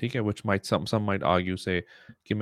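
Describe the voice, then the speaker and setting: A man with a Pakistani accent is heard in a dry, close sound with no echo. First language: Urdu. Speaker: podcast host. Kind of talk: solo commentary monologue. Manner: hesitant with many fillers.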